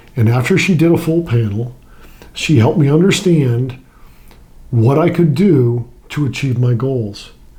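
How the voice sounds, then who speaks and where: A man's medium-pitched voice at a fairly slow pace, with long, frequent pauses, ordinary pitch variation, very even loudness and audible room echo. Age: 60s. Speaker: weight-loss client, retired Navy pilot and FBI agent. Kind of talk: interview testimony. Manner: halting, with repeated words.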